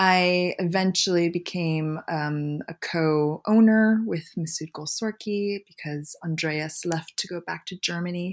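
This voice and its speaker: A woman speaks fairly slowly in an unremarkable speaking voice, her fairly low pitch showing ordinary pitch variation. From Canada (Montreal). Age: 40s. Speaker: magazine publisher and fashion director. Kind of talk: casual interview.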